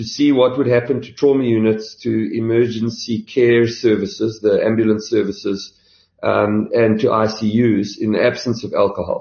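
A man with a normal speaking voice, medium pitch and moderate pace. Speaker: health insurance chief executive, doctor. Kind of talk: interview.

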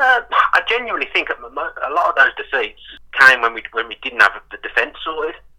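A man at a fairly quick pace with big swings in loudness. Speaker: football fan guest. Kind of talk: casual football chat.

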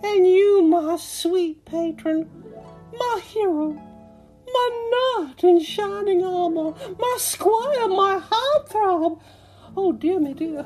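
A woman's put-on character voice, extremely high-pitched and lively in intonation, at a very slow pace over clear background music. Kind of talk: old-fashioned, ornate. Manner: breathless, swooning, flowery.

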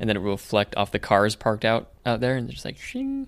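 The delivery comes at a very fast pace. Its intonation stays fairly even. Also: man. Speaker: podcast host. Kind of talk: casual chat. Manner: faster talker.

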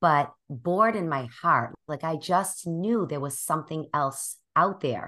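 A woman with a Boston accent, a very deep, low pitch, a bright, sharp tone, lively intonation, and a fairly slow pace, against a quiet background. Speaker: life coach and podcaster. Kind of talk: interview conversation.

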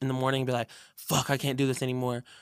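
An American accent comes through. It belongs to a man. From US Pacific Northwest, Seattle area. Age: 20s. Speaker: rapper. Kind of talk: casual chat. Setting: studio.

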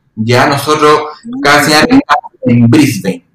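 A man's unremarkable speaking voice, fairly high in pitch, at a fairly slow pace. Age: 30s. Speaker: occupational therapist and university lecturer. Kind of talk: casual interview chat.

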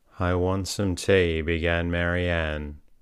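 Very deep and low, a man's soothing, calm voice goes at a very slow pace on a very clean recording with a silent background. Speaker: sleep podcast narrator. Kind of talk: bedtime story reading aloud. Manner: slow, soothing, calm.

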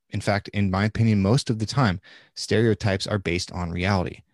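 A man's fairly low voice with an American accent, a plain, everyday voice at a moderate pace, dry and close with no echo. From Nebraska. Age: 30s. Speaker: former police officer and podcaster. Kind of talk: casual chat.

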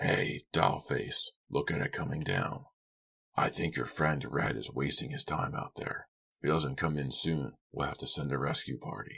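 A man puts on a character voice, raspy and very deep and low in pitch. He speaks at a moderate pace.

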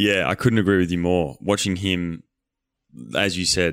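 A man with an Australian accent, a very deep, low pitch and fairly even intonation at a fairly quick pace. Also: very clean recording, silent background. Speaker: podcast host. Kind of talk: casual chat; show outro.

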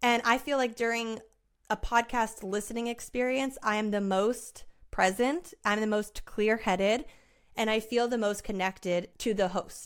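In a very clean recording with a silent background, a woman uses a normal speaking voice, fairly high in pitch, at a moderate pace with fairly even intonation. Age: 30s. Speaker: podcast host. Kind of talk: solo monologue. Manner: casual.

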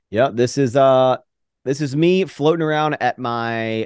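Recorded dry and close with no echo over a quiet background, a man with an American accent uses an ordinary speaking voice with ordinary pitch variation. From US East Coast. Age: 30s. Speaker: YouTuber and entrepreneur. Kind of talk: casual chat.

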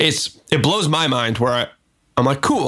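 With an American accent, a man speaks in an ordinary speaking voice at a fairly quick pace, with a medium pitch and ordinary pitch variation. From US Northwest, Seattle. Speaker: music producer. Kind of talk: casual chat.

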